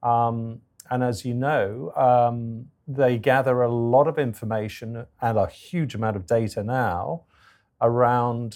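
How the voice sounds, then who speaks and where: A man's medium-pitched voice with an English accent at a very slow pace, on a very clean recording with a silent background. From England. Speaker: business consultant. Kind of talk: interview. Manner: hesitant, many fillers.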